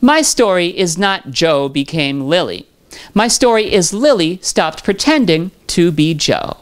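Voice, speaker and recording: Over a quiet background, a woman talks at a fairly slow pace with very wide pitch swings. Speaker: video creator. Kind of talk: personal reflective monologue. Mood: warm, reflective. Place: home room. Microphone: handheld.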